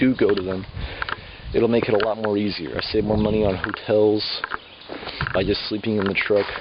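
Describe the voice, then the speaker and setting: Against noticeable background noise, a man speaks in a monotone, flat intonation, with long, frequent pauses. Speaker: vlogger. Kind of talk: casual vlog monologue. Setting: outdoors in a forest, walking. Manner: fast; halting.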